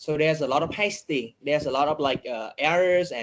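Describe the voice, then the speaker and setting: This man has a Vietnamese accent. His pitch sits fairly high. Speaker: data journalist. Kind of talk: podcast interview. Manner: halting, many fillers.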